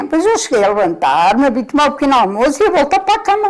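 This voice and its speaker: Very wide pitch swings mark a woman's very fast speech over noticeable background noise. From Portugal, Coimbra. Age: 70s. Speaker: retired former store worker. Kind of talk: casual interview chat.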